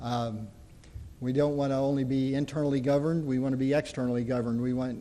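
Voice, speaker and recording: A man speaks in a southern Indiana accent at medium pitch, his intonation monotone and flat. Audible room echo surrounds his voice. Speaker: community college dean. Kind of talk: conference presentation. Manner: halting, with frequent fillers.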